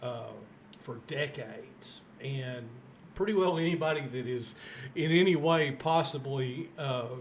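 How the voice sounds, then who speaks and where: A man speaks at a fairly high pitch with ordinary pitch variation, at a fairly slow pace. Long, frequent pauses break up his words, and audible room echo surrounds them. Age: 60s. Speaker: podcast host. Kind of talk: interview.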